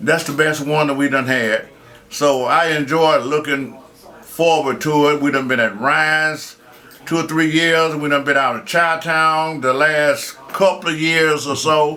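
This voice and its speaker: Over noticeable background noise, a man with a Southern US accent speaks at a fairly high pitch, a fairly slow pace and with fairly even intonation. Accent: Southern American English. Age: 70s. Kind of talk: interview answer. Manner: hesitant.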